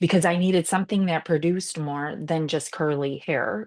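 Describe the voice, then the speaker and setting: This woman speaks with a very deep, low pitch, ordinary pitch variation and an animated tone at a moderate pace against a quiet background. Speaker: salon owner and podcast host. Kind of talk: casual storytelling monologue.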